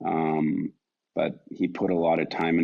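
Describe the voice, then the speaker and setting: This is a man speaking. He has a Canadian accent. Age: 50s. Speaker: retired hockey player. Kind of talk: interview.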